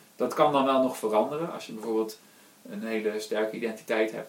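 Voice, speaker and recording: Fairly even intonation at a moderate pace, with noticeable background noise and audible room echo. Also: man. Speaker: podcast host. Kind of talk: casual chat.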